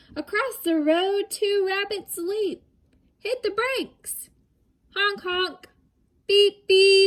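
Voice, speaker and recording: A woman's squeaky, put-on character voice at an extremely high pitch, very slow, with long, frequent pauses. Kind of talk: bedtime story. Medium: read story. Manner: warm, rhythmic, upbeat.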